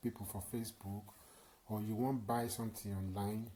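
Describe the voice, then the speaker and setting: The voice has a dark, mellow tone, is somewhat breathy, and keeps a monotone, flat intonation. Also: man. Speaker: tutorial channel host. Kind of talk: casual talk to camera.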